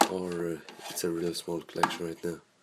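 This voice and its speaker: Here a man speaks in a very deep, low pitch. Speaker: YouTuber. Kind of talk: casual video tour. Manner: hesitant.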